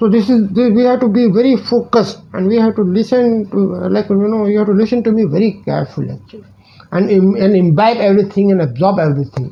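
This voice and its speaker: A man with a high pitch at a very fast pace. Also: ordinary pitch variation. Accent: Indian. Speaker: teacher and life coach YouTuber. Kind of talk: direct-to-camera channel introduction. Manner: halting, many fillers and repetitions.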